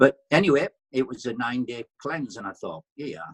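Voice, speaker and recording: Recorded with a dry, close sound and no echo, a man talks at a moderate pace in a medium pitch, with vocal fry. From Britain. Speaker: former soldier, wellness product user. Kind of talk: casual interview chat. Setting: online call.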